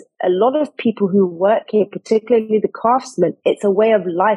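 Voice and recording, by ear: A woman with a dark, mellow tone and a husky, rough edge speaks at medium pitch and a moderate pace, her intonation lively.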